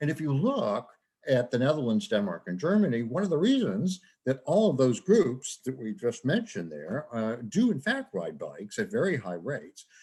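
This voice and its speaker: Medium-pitched male speech at a moderate pace, marked by vocal fry and very wide pitch swings. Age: 70s. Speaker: professor. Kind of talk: lecture.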